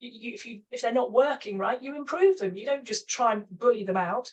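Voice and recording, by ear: At a fairly quick pace, a woman talks with a fairly high pitch, ordinary pitch variation and a slightly husky edge.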